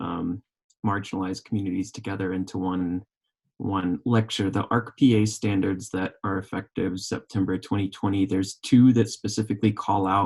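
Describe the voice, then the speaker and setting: A man with an American accent speaks with a fairly low pitch, fairly even intonation, and a somewhat breathy quality. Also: moderate pace. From Oklahoma. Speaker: physician assistant student. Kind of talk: panel discussion. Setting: live recorded podcast.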